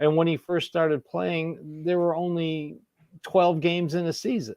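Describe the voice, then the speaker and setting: Recorded with a dry, close sound and no echo, a man speaks in a high voice at a moderate pace with fairly even intonation. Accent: American. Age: 60s. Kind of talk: casual chat.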